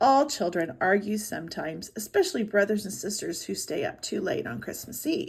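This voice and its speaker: In a raspy, put-on character voice, a woman speaks at a medium pitch and a moderate pace with hardly any pauses. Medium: read story. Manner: warm, chuckling.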